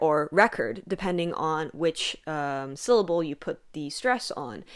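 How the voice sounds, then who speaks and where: In a very clean recording with a silent background, a woman with an American accent speaks in a normal speaking voice at a moderate pace, her fairly low pitch carrying lively intonation. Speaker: content creator on ancient hymns. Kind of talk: tutorial. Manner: casual, with fillers.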